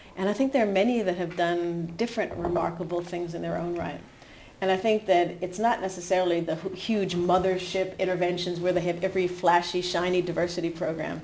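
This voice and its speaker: A woman speaks with an American accent. Her pitch is fairly low and her pace fairly quick. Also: fairly even intonation. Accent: American, still audible. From US New Hampshire. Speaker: HR executive. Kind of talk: interview conversation.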